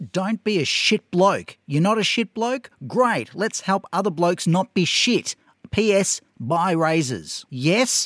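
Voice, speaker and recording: A man with an Australian accent and a high pitch talks at a very slow pace with lively intonation. His loudness stays very even, and the sound is dry and close with no echo. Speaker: podcast co-host. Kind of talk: casual chat.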